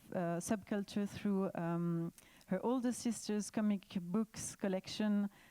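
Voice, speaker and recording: A woman's dark, mellow voice at medium pitch, with fairly even intonation and a French accent. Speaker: panel moderator. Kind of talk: panel introduction. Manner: halting with many fillers.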